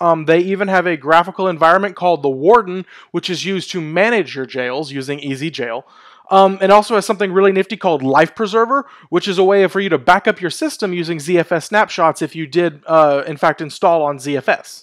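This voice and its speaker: A high-pitched man at a fairly quick pace, with ordinary pitch variation and a quiet background. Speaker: tech video host. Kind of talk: tech commentary. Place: home room. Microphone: headset.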